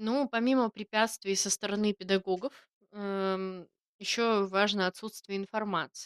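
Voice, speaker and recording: In a dry, close sound with no echo, a woman speaks at a fairly slow pace and medium pitch. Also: fairly even intonation. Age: 20s. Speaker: podcast co-host, artist and teacher. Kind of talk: casual chat.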